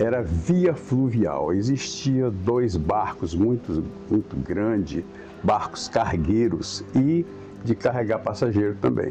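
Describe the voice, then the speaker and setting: Against noticeable background noise, a man speaks at a very slow pace with a fairly low pitch, very wide pitch swings and very even loudness. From Brazil, Araguatins, Tocantins. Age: 70s. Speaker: local elder interviewee. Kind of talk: oral history interview.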